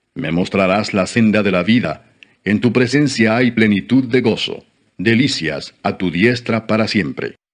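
The pace is fairly slow, with ordinary pitch variation. It is an ordinary speaking voice. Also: man, medium pitch for a man. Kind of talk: audiobook-style reading aloud of scripture (Psalms). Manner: slow, solemn, formal reverent reading; steady measured pace with pauses between verses.

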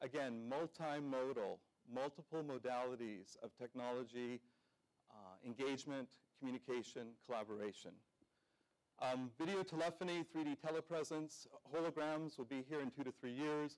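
Speech at a moderate pace with long, frequent pauses and ordinary pitch variation sits over a quiet background. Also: man. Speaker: conference presenter. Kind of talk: keynote presentation. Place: hall.

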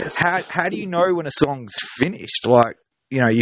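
A man with an Australian accent speaks at a fairly quick pace with ordinary pitch variation. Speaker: music publicist and interviewer. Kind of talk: interview. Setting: phone call.

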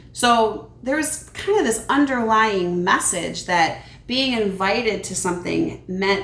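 The woman speaks at a fairly slow pace. Audible room echo is present. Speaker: children's ministry teacher. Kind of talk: Bible lesson storytelling for kids. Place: kitchen. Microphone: camera far.

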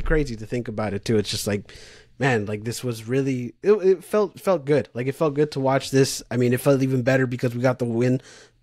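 Against a quiet background, a man talks very fast with ordinary pitch variation, the sound dry with no echo. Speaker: podcast co-host. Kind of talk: casual sports podcast discussion. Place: home room.

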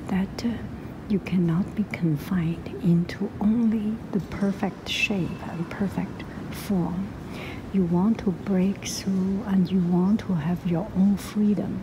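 Very slow speech over noticeable background noise. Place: hall. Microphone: phone near.

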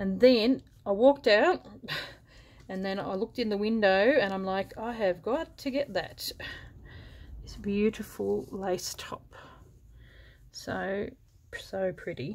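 A woman talks at a very slow pace with long, frequent pauses. Her intonation is lively. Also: big swings in loudness. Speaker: thrift haul vlogger. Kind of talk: casual vlog chat. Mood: pleased, enthusiastic. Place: home room. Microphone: camera far.

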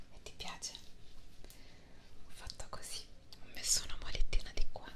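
Soft-spoken and whispering, a woman speaks at a moderate pace. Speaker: ASMR content creator. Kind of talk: soft whispered ASMR talk. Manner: soft close-mic ASMR whisper. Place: home room. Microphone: studio mic.

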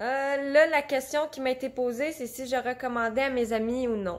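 A woman with a Quebec accent speaks at a fairly slow pace in a high voice, her intonation fairly even. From Quebec (Repentigny). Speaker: customer reviewer. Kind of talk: product testimonial. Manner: hesitant, many filler sounds. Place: home room. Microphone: phone near.

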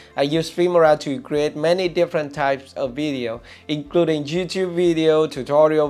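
This man's speech moves along at a moderate pace. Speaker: video creator. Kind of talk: tutorial. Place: studio. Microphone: lapel.

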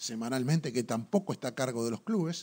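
In a Uruguayan accent, a man talks at a fairly quick pace. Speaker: sports TV show host. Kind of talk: TV sports talk show. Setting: studio. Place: studio. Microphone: studio mic.

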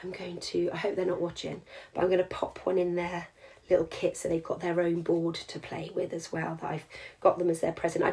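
A woman whispers in a raspy, put-on character voice at a moderate pace. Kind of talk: tutorial. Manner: whispering, secretive. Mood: warm, chatty.

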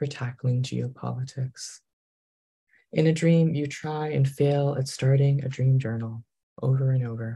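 A man's fairly slow, somewhat breathy delivery with an American accent, a dark, mellow tone and fairly even intonation. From Massachusetts, New England. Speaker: poet. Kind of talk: poetry reading. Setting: video call. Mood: calm, wry. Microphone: video call.

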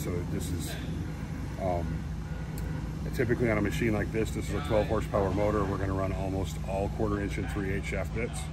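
Clear music plays in the background. The speech runs at a very fast pace. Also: man. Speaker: woodworking content creator. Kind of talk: interview answer. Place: factory.

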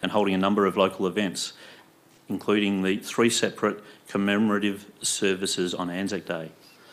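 Fairly even intonation runs through an ordinary speaking voice. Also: man. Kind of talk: formal meeting announcement. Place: meeting room. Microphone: podium.

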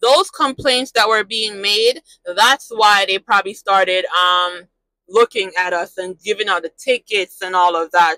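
Over a quiet background, a woman with a bright, sharp tone speaks at a moderate pace and ordinary pitch variation, the sound dry with no echo. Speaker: truck driver vlogger. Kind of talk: casual vlog chat. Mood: mildly frustrated, reflective. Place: car. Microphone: lapel.

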